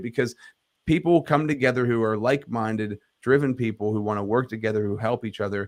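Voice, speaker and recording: A man speaks fairly quickly with fairly even intonation. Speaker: leadership coach and podcaster. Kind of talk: interview. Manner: clear enunciation.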